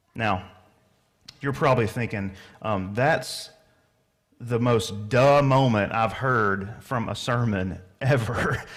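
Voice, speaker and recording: With an American accent, a man talks very slowly at a medium pitch, using ordinary pitch variation and long, frequent pauses amid audible room echo. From US South. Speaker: pastor. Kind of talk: sermon. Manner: casual, conversational.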